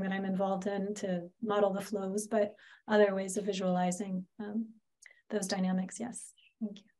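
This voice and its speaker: Somewhat breathy, a woman speaks in a medium pitch at a moderate pace. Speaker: PhD student presenting research. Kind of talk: academic Q&A discussion.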